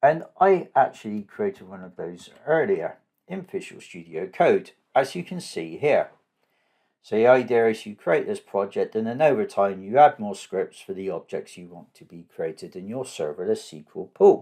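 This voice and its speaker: A man with a southwest English accent speaks at a moderate pace. His loudness swings widely. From southwest England. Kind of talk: tutorial.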